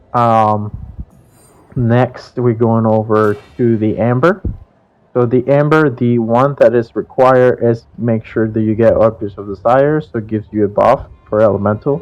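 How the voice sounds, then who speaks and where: Using a non-native accent, a man speaks at a moderate pace in a medium pitch with fairly even intonation. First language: not English. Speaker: video game streamer. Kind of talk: gameplay tutorial. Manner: casual, with frequent fillers.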